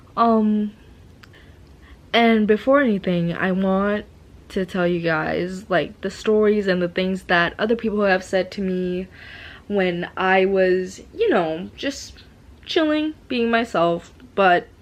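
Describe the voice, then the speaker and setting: A woman's medium-pitched voice with a slight non-native accent, a very slow pace and ordinary pitch variation, against a quiet background. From Asia. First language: not English. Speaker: vlogger. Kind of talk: casual monologue. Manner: slurring, stuttering; halting, many fillers.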